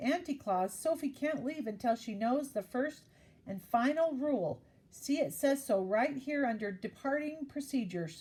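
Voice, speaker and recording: Someone performs a put-on character voice. Speed stays moderate. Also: woman, high pitch for a woman. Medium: read story. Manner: fretful, fussy.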